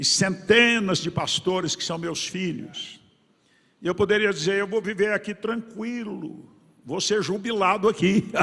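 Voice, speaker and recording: This man's high-pitched voice has a bright, sharp tone and fairly even intonation. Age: 70s. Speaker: pastor. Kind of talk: sermon. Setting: church conference with congregation.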